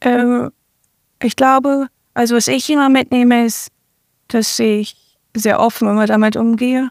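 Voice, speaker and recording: In a dry, close recording with no echo, a woman speaks fairly slowly at a fairly high pitch. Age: 20s. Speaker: professional football player. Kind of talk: interview.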